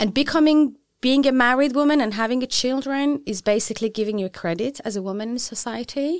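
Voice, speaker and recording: A woman with a Persian accent talks at a very fast pace in a high pitch, barely pausing, with ordinary pitch variation. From Iran. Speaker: feminist activist. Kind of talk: interview. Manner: halting.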